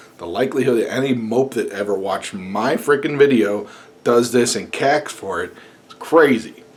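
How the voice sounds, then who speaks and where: Noticeable background noise behind a man speaking in a medium pitch. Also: ordinary pitch variation, moderate pace. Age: 40s. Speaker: YouTuber. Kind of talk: casual video blog rant. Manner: animated.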